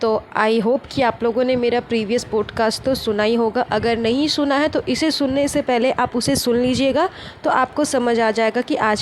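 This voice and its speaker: With hardly any pauses and very even loudness, a woman speaks at a moderate pace and fairly high pitch over noticeable background noise. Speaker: gossip podcaster. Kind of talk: casual commentary podcast.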